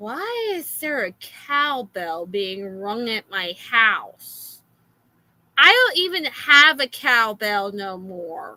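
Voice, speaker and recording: A woman speaks at a very slow pace in a fairly high voice. Her pitch swings very widely and her loudness rises and falls in big swings. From Florida. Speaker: streamer reacting to videos. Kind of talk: casual reaction stream rant.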